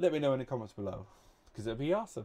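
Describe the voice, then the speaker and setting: Mumbling delivery in a dark, mellow tone with lively intonation. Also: man. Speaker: YouTuber counting to a million. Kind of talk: enthusiastic scripted channel intro to camera. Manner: animated, laughing often. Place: home room. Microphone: studio mic.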